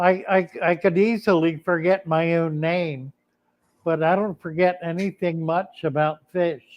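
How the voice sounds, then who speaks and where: Speaking with an American accent, a man uses a high pitch, a fairly slow pace and fairly even intonation. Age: 80s+. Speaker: aquarium hobbyist, retired minister. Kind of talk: casual chat.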